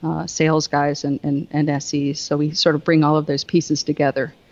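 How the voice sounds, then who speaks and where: Southern US accent in a dry, close sound with no echo. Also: woman. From US South. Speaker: Wi-Fi solutions engineering manager. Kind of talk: casual interview chat, technical explanation.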